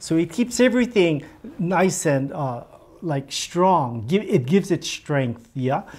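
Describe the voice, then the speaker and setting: Very wide pitch swings run all through this man's speech. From Hawaii. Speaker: weaver. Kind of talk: demonstration talk. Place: office.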